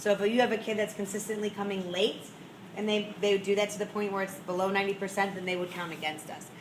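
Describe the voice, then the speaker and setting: A woman's medium-pitched voice with audible room echo and noticeable background noise. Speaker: school principal. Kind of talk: meeting presentation. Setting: school meeting with audience. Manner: fast.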